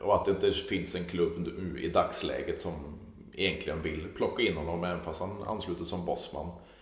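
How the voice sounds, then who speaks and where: A man at a moderate pace, with audible room echo. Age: 30s. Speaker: podcast host. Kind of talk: casual chat.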